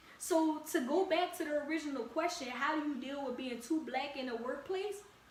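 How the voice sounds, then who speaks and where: A woman talks in an animated tone at a high pitch and a moderate pace. Audible room echo and noticeable background noise come through. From Louisiana, New Orleans area. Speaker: podcast host. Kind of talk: casual podcast monologue. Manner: animated, conversational.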